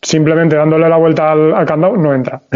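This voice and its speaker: A man speaks with a fairly high-pitched voice. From Valencia, Spain. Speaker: motorcyclist, podcast listener. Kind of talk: casual chat.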